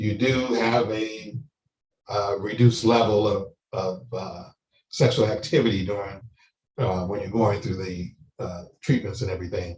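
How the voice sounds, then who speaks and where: Somewhat breathy, a man speaks at a moderate pace and fairly low pitch, with fairly even intonation and long, frequent pauses. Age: 60s. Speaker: prostate cancer survivor, panelist. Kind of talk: testimony. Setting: online live-streamed panel. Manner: halting, many fillers.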